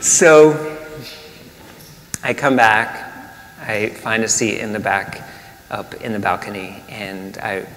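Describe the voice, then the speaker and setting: Lively intonation from a man over noticeable background noise. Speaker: minister. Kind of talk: sermon.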